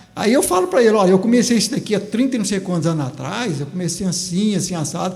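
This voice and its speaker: A man with a high voice talks very fast with ordinary pitch variation, over noticeable background noise and audible room echo. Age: 70s. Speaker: farmer and former teacher. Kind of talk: interview.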